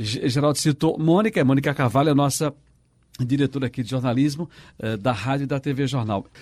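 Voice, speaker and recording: Here is a man with fairly high pitch and ordinary pitch variation, in a normal speaking voice at a fairly quick pace. The very clean recording has a silent background and a dry, close sound with no echo. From Pernambuco, Brazil (São Lourenço da Mata). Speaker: radio journalist and co-host. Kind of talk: casual chat.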